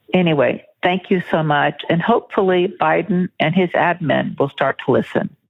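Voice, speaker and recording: A woman speaks in an unremarkable speaking voice, fairly low in pitch with ordinary pitch variation. Her loudness stays very even, and she hardly pauses at all. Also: moderate pace. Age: 60s. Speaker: caller, school teacher. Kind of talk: voicemail message.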